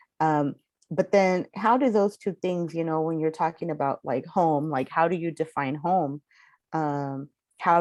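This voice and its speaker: A woman with an American accent, fairly low in pitch, at a fairly slow pace with ordinary pitch variation, against a quiet background. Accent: Southern California Chicana. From Southern California (Inland Empire). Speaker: author. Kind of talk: panel conversation. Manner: casual, many fillers.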